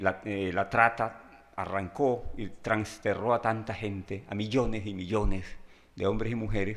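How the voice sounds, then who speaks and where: This man has a fairly low pitch and speaks at a moderate pace. The recording is very clean, with a silent background. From Colombian Pacific coast, Guapi (Cauca). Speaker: writer and lecturer. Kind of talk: lecture. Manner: halting, with frequent fillers.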